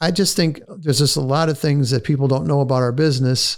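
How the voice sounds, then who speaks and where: With ordinary pitch variation, a man speaks at a fairly high pitch. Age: 60s. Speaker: real estate broker. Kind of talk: casual chat. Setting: podcast interview. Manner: halting, many fillers.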